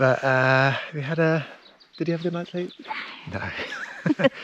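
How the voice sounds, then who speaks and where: Male speech with everyday pitch movement, noticeable noise in the background. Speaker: travel vlogger. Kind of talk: casual vlog narration.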